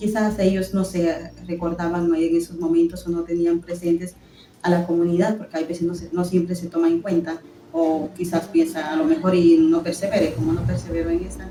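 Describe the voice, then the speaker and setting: A woman with a fairly low pitch talks at a fairly quick pace in a monotone, flat intonation. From Guatemala. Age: 20s. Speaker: religious postulant. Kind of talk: testimony.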